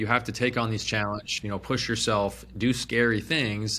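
This man's voice has a bright, sharp tone and a fairly low pitch. His intonation stays fairly even on a very clean recording with a silent background. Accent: American. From Phoenix, Arizona. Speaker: real estate investment company CEO. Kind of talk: podcast interview.

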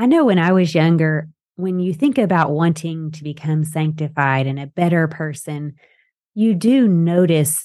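With a Southern US accent, the voice has a dark, mellow tone and a moderate pace. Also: woman. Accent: Southern US, noticeable twang. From Texas-Arkansas border. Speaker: podcast host. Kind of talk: casual interview chat. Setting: video call over Zoom, host in Idaho.

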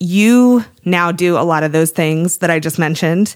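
Speaking in a normal speaking voice with an American accent, a woman uses a fairly low pitch at a fairly slow pace. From US Northeast, Cape Cod, Massachusetts. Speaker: podcast co-host, business owner and mother. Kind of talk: casual chat.

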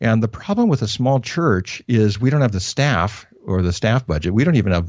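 With a General American accent, a man uses an ordinary speaking voice at a fairly low pitch, speaking at a fairly quick pace with lively intonation. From US Northwest, northern Idaho. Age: 50s. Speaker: pastor. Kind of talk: interview. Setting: phone call.

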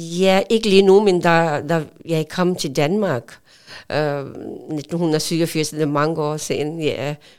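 Very slowly and with fairly even intonation, a woman speaks in a fairly low pitch on a very clean recording with a silent background. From Pakistan. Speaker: volunteer. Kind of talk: interview. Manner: halting.

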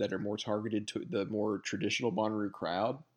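A man talks fairly quickly with a Southern US accent. The background is quiet. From rural Alabama. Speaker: podcast co-host. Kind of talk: casual chat.

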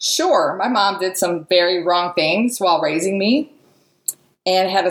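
Using a plain, everyday voice, a woman speaks at a moderate pace and medium pitch with ordinary pitch variation. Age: 40s. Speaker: motivational podcast host. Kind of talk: motivational monologue.

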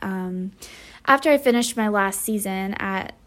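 Speaking at a moderate pace, a woman comes through on a very clean recording with a silent background. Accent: Midwestern American. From US Midwest, rural northwest Iowa. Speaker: fine art photographer. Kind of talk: interview.

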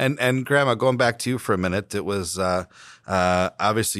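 Here is a plain, everyday voice at a moderate pace with ordinary pitch variation. The recording is very clean, with a silent background. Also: man. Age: 30s. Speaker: mayor and podcast host. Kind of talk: casual family interview.

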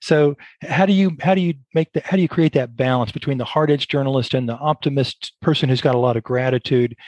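Speaking fairly quickly, a man uses an ordinary speaking voice of medium pitch with ordinary pitch variation, the sound dry and close with no echo. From Brazos Valley, Texas. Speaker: podcast host and business owner. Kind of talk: interview.

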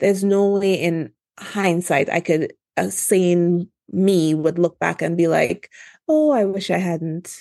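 With a Trinidadian accent, a woman speaks very slowly in a fairly low pitch, her dark, mellow tone carrying fairly even intonation over a quiet background. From Trinidad and Tobago. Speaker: obstetrician-gynecologist and entrepreneur. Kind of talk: podcast interview.

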